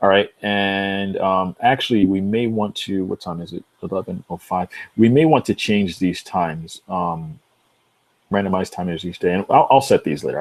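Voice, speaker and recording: This man has an unremarkable speaking voice, fairly low in pitch and at a moderate pace. The sound is dry and close with no echo, on a very clean recording with a silent background. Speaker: software tutorial youtuber. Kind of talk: tutorial. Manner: casual, filler-heavy.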